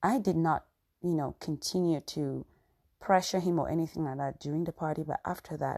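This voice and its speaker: A woman speaks with an African accent in a fairly low pitch, with a dark, mellow tone and ordinary pitch variation. The recording is very clean with a silent background, and the sound is dry and close with no echo. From Cameroon. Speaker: podcast host. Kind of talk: casual storytelling monologue.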